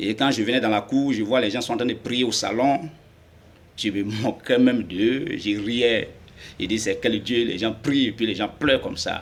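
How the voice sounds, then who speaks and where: Speaking at a fairly slow pace, a man uses medium pitch with ordinary pitch variation. His pauses are long and frequent. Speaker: convert giving testimony. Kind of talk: testimony. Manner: halting.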